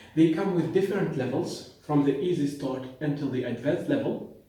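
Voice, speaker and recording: With a non-native accent, a man of fairly high pitch speaks at a moderate pace with lively intonation, his voice carrying audible room echo. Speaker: pharmacist and language teacher. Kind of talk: educational talk.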